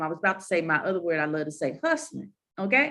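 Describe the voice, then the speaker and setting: A woman speaks in a Southern US accent. Her tone is bright and sharp, with lively intonation. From US South. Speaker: moderator of university panel. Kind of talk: panel discussion.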